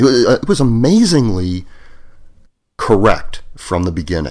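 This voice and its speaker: With a plain, everyday voice, a man talks at a moderate pace and medium pitch, his intonation lively. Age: 50s. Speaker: engineer and blogger. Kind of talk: casual chat.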